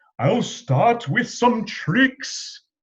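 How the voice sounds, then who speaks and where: A man does a theatrical put-on character voice at an extremely high pitch. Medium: read story. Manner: grand, theatrical.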